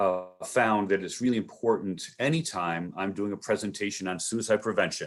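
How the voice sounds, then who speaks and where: A man's fairly low, normal speaking voice at a moderate pace. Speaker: suicide prevention trainer. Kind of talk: workshop presentation.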